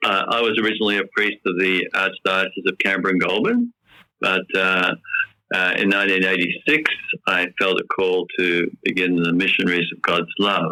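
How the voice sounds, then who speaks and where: Speaking at a moderate pace with an Australian accent, a man with a very deep, low voice keeps his intonation monotone and flat. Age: 70s. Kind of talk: interview. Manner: hesitant with many fillers.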